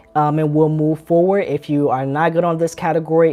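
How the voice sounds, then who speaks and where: A woman's very deep, low voice in a flat monotone. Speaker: dreamwork workshop teacher. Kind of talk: live online workshop.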